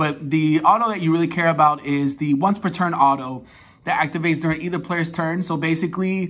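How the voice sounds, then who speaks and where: Here a man speaks in a high pitch. His pace is fairly quick and his intonation fairly even. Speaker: card game deck reviewer. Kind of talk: tutorial. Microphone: phone near.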